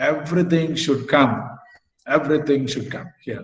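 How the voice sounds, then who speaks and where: With audible room echo, a man speaks at a moderate pace in a somewhat breathy voice. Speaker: academic lecturer. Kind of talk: lecture. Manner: halting.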